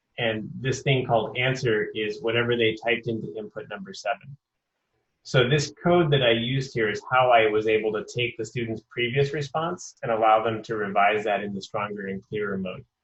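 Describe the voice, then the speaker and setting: A man with a somewhat breathy, medium-pitched voice speaks at a fairly quick pace with ordinary pitch variation. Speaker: professor running a teacher webinar. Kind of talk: webinar tutorial. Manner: fast.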